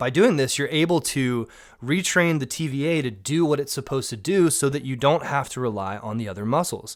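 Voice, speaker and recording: Here a man with an American accent talks at a fairly quick pace. His fairly high voice has an animated tone and lively intonation. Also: very clean recording, silent background. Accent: Southern US, usually toned down. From US South, Georgia. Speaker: mountain bike coach. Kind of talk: tutorial. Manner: casual, conversational.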